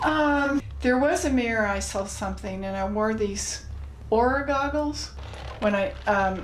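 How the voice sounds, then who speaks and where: Noticeable background noise and audible room echo fill the recording. A woman with a fairly high pitch talks at a fairly slow pace with lively intonation. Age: 60s. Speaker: interviewee. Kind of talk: interview. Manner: halting.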